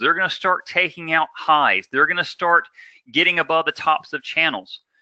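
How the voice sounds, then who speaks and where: A man's high-pitched voice, bright and sharp in tone, in a dry, close sound with no echo. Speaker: day trading instructor. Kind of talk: live trading class. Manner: fast; energetic, full throttle.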